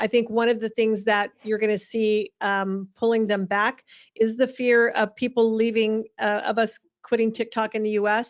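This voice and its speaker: Her voice sits fairly high and moves at a moderate pace. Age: 60s. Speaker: social media marketing speaker. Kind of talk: webinar Q&A answer.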